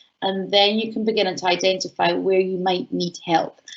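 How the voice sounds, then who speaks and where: With a Scottish accent, a woman speaks at a medium pitch with ordinary pitch variation. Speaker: university enterprise educator. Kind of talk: online workshop Q&A. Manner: fast; animated.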